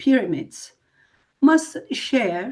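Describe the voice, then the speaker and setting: A woman's high voice at a very slow pace, with very wide pitch swings and a non-native accent. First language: not English. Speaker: spiritual group leader. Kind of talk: live broadcast talk. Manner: halting.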